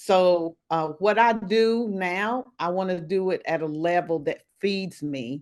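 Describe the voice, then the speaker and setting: A woman with a normal speaking voice talks at a fairly low pitch with ordinary pitch variation over a quiet background. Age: 60s. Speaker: wellness coach. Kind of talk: interview.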